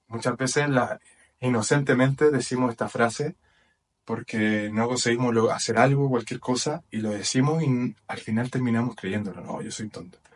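Here is a man with a plain, everyday voice. He talks at a moderate pace with a medium pitch. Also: fairly even intonation. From Chile. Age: 20s. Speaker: personal development podcaster. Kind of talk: motivational talk. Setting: video recording with whiteboard.

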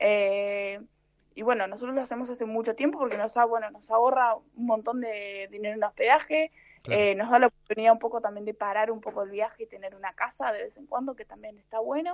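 Talking at a very fast pace, a woman with a fairly high pitch shows ordinary pitch variation and big swings in loudness. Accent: Rioplatense. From Argentina. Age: 30s. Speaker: traveler and translator. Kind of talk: interview conversation.

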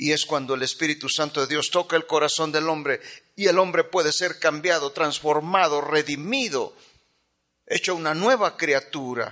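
With a bright, sharp tone and a fairly high pitch, a man speaks at a moderate pace with ordinary pitch variation. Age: 50s. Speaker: pastor. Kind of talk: sermon.

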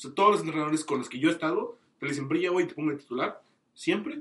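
A man talks with fairly even intonation in a fairly high pitch. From Mexico, Tamaulipas. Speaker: podcast guest. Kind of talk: casual chat.

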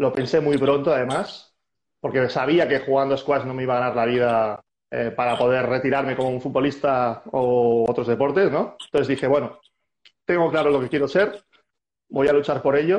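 With a normal speaking voice, a man talks at a moderate pace and medium pitch, showing ordinary pitch variation. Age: 40s. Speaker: squash coach and former player. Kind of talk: casual interview.

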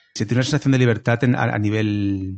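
With a fairly low pitch and ordinary pitch variation, a man speaks at a moderate pace. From Valencia region, Spain (small town). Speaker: comedian. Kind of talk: casual interview chat. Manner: halting, many repetitions.

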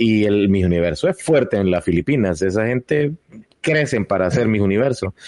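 With a normal speaking voice, a man talks at a fairly quick pace and fairly low pitch, his intonation lively and his loudness very even, in a dry, close sound with no echo. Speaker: podcast host. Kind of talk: casual chat.

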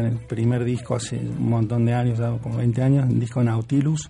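A man's medium-pitched voice in a flat monotone at a very fast pace, with noticeable background noise. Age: 40s. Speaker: musician. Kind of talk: interview.

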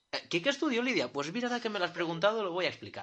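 The man raises and projects his high-pitched voice. His tone is bright and sharp, with very wide pitch swings. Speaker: podcast co-host. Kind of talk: casual chat.

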